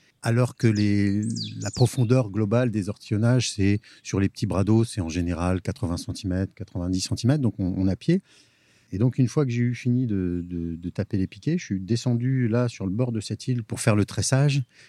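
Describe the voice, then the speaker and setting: In a very clean recording with a silent background and a dry, close sound with no echo, a man with a dark, mellow tone and fairly low pitch speaks at a moderate pace with ordinary pitch variation. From Picardy, near Amiens. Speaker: gardener-landscaper. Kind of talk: casual interview. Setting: outdoors, on a boat. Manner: halting, with repetitions.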